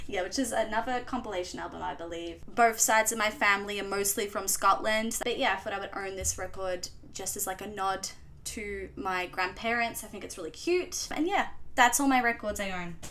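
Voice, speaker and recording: Over background music, a woman with a strong Australian accent speaks at medium pitch, her loudness swinging widely. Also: ordinary pitch variation, fairly quick pace. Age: 20s. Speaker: vlogger. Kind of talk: casual chat. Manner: casual, hesitant.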